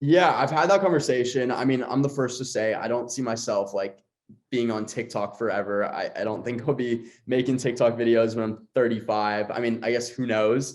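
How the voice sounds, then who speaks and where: A man talks with a strong Los Angeles accent at a moderate pace. His pitch sits in the medium range. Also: ordinary pitch variation. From Los Angeles, West LA. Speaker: content creator and host. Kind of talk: podcast interview.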